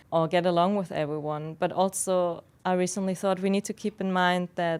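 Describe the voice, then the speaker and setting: The woman's medium-pitched voice moves at a moderate speed with fairly even intonation in a very clean recording with a silent background. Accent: non-native. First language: not English. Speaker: podcast host. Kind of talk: unscripted solo podcast talk. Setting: studio.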